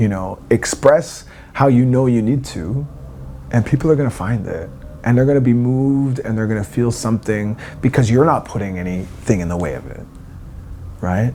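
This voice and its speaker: Over noticeable background noise, a man with a Canadian accent speaks at a moderate pace with long, frequent pauses. His voice is medium in pitch, with ordinary pitch variation. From eastern Canada, Wabanaki territory. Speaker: singer. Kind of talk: interview. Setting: backstage at a music festival.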